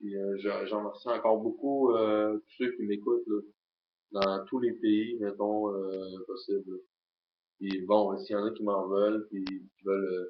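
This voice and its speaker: This man speaks very slowly in a Quebec accent, with a fairly low pitch and fairly even intonation. He leaves long, frequent pauses. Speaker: YouTuber. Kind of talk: casual vlog monologue. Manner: halting, many filler sounds.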